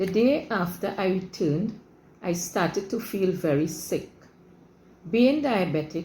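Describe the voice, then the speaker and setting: Speaking at a fairly slow pace with long, frequent pauses, a woman uses lively intonation at a medium pitch, her tone dark and mellow and somewhat breathy. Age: 70s. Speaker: patient giving a testimonial. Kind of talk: testimony. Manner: formal.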